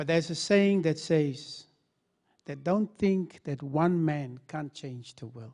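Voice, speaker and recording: A man's fairly high-pitched voice with a dark, mellow tone, at a very slow pace over a quiet background. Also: ordinary pitch variation, big swings in loudness. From Namibia. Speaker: law lecturer. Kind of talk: panel discussion. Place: hall. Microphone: handheld.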